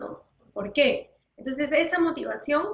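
A woman with a high voice speaks fairly slowly. Her intonation stays fairly even. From Peru. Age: 50s. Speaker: nutritionist. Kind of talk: interview.

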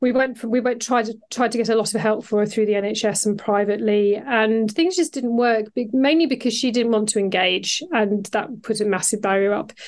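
Through noticeable background noise, a woman speaks at a fairly high pitch and a moderate pace with ordinary pitch variation and hardly any pauses. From northern England, Yorkshire countryside. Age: 50s. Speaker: self-love coach. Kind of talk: casual interview. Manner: hesitant with fillers.

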